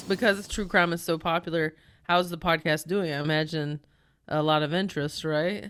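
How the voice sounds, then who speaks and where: On a very clean recording with a silent background, a woman with an unremarkable speaking voice talks at a moderate pace, with fairly low pitch and fairly even intonation. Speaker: comedian. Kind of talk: casual podcast talk.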